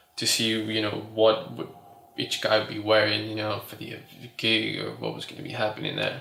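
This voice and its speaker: Talking at a moderate pace in an American accent, a man's loudness swings widely, with audible room echo and noticeable background noise. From California and Mexico. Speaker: fashion designer. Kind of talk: interview. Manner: hesitant, many fillers.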